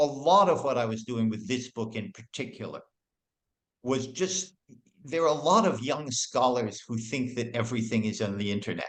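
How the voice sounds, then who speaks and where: In an ordinary speaking voice, a man with a medium pitch speaks at a moderate pace with lively intonation. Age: 60s. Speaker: music historian and author. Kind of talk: interview.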